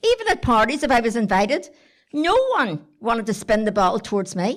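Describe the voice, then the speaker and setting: With a Belfast accent, a woman speaks at a fairly quick pace in a fairly high voice, her intonation lively and her loudness very even. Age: 70s. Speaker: storyteller. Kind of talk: storytelling to live audience. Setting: stage with audience. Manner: animated.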